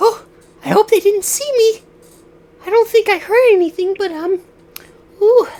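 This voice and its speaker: A man's put-on character voice at an extremely high pitch, with long, frequent pauses. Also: moderate pace. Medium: actual play.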